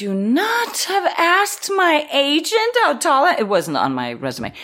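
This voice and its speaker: A woman at a fairly slow pace with very wide pitch swings, set against noticeable background noise. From Israel. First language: Danish and Hebrew. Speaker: actor. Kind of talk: interview anecdote.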